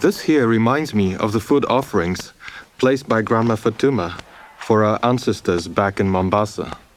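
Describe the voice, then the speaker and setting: A man at medium pitch and a moderate pace, ordinary pitch variation, noticeable background noise. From Kenya. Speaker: documentary narrator. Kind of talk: narrated letter. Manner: reflective.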